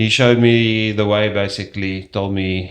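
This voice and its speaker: Speaking in a South African accent, a man keeps a fairly slow pace. His intonation is monotone and flat. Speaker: strength and conditioning coach. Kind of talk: interview.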